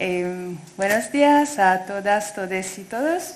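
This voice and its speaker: A woman speaks with an Italian accent. Noticeable background noise and audible room echo surround her voice. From Italy. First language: Italian (speaking Spanish). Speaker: doctoral researcher. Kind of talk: academic talk read aloud. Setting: conference. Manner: halting.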